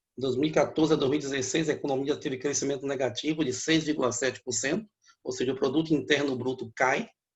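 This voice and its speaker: At a very fast pace, a man talks in a fairly high, somewhat breathy voice with ordinary pitch variation. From Bahia, Brazil (Feira de Santana district). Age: 60s. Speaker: economist and professor. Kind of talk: interview.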